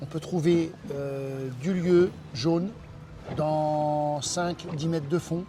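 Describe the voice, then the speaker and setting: A man speaks at a very slow pace, pausing long and often. His pitch is fairly high and his intonation fairly even. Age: 60s. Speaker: diving centre owner and instructor. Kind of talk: interview. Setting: in his office by the sea.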